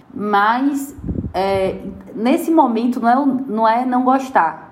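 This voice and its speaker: A woman speaks with lively intonation in a space with audible room echo. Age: 30s. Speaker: public relations professional. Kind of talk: interview testimony.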